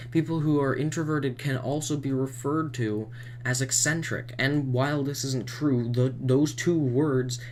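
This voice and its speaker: Audible room echo surrounds a man speaking at medium pitch. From Canada, Manitoba. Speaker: YouTuber, vlogger. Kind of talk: rant. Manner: animated; halting, self-correcting.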